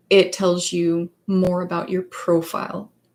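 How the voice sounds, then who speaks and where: The speaker is a woman. She has a Danish accent. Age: 30s. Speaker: psychologist and author. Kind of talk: livestream chat. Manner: halting, many fillers.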